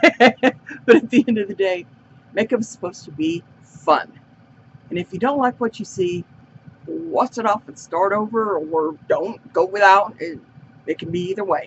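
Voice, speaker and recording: A woman at medium pitch talks at a moderate pace with lively intonation and big swings in loudness. Long pauses come often. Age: 60s. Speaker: beauty vlogger. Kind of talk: casual makeup tutorial chat. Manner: casual, rambling with fillers.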